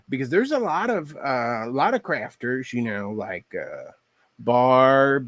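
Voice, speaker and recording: A man with a Texas accent speaks at a very slow pace. The recording is very clean with a silent background. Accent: Texas twang. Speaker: craft livestreamer. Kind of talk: casual livestream chat while crafting. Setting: live stream.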